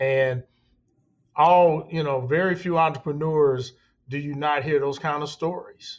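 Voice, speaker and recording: A man talks in a plain, everyday voice with an American accent. His pitch is fairly high and his pace fairly slow. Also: fairly even intonation. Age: 60s. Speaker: construction company founder. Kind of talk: interview conversation.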